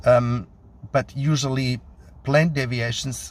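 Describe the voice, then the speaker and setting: A man with a German accent, somewhat breathy, with ordinary pitch variation and a very slow pace. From Germany. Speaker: GMP quality consultant. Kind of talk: educational monologue. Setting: while traveling. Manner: hesitant, many fillers.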